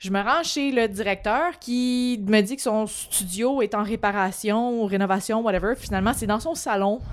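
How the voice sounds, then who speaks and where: A woman speaks in a plain, everyday voice with a fairly high pitch and ordinary pitch variation. Her pace is fairly slow, with hardly any pauses. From Quebec, Montreal. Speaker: podcast co-host, actress. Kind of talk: casual chat.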